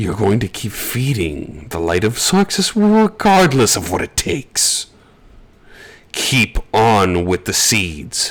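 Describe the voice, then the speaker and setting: This man is doing a put-on character voice. It lands at a medium pitch. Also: fairly slow pace. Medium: actual play. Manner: smug, domineering.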